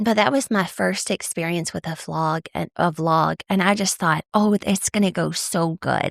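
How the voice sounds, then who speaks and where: A woman with an American accent at a fairly slow pace, dry and close with no echo, in a very clean recording with a silent background. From East Texas. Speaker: podcast host. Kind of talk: personal storytelling monologue. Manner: casual, animated.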